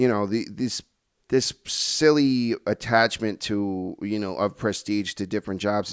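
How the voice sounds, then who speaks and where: In a normal speaking voice, a man talks at a fairly low pitch with ordinary pitch variation, recorded with a dry, close sound and no echo. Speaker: podcast host. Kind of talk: casual interview conversation.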